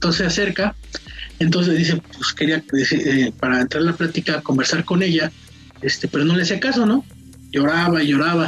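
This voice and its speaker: Music plays in the background as a woman speaks at a fairly quick pace and fairly low pitch. Her loudness stays very even, and her pitch varies in an ordinary way. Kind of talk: telling a personal paranormal story. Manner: casual, conversational.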